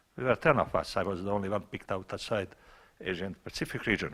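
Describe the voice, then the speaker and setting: Bright and sharp in tone, this is a man's voice. He speaks with a Montenegrin accent. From Montenegro. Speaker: scientist asking a question from the audience. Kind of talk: audience question at a panel. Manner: loud.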